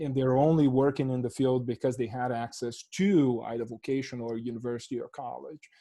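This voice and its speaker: The dark, mellow voice moves at a moderate pace over a quiet background. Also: man. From Brazil. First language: Portuguese. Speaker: professor. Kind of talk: panel discussion.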